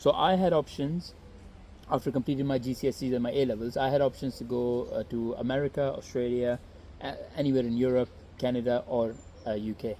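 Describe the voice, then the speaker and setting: The voice has a dark, mellow tone and a non-native accent. It moves at a fairly quick pace. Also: man, medium pitch for a man, fairly even intonation. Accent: noticeable foreign. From Saudi Arabia (Jeddah), Pakistani family. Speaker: YouTuber. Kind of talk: casual interview. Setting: in person in Swansea. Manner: hesitant, many fillers.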